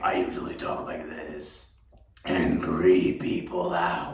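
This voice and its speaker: A man uses a raspy, put-on character voice at a fairly slow pace. There is a slight echo. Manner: creepy, scary.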